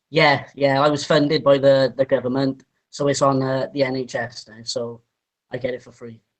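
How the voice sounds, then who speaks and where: A man with a Welsh accent speaks at a medium pitch in monotone, flat intonation, with big swings in loudness. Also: moderate pace. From Wales. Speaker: interviewee. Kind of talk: interview.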